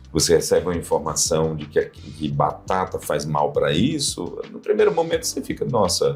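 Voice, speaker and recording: Music plays in the background as a man speaks. His pace is moderate, with hardly any pauses. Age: 60s. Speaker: physician. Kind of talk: interview.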